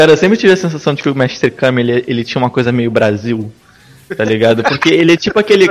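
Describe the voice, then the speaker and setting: Over noticeable background noise, a man's intonation rises and falls in a lively way. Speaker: podcast panelist. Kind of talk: casual chat.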